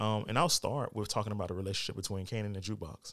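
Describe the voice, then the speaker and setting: The recording is very clean, with a silent background. A man speaks with an unremarkable speaking voice at a fairly low pitch and with fairly even intonation. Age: 40s. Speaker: podcast host. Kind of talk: casual solo commentary. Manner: casual, many filler words.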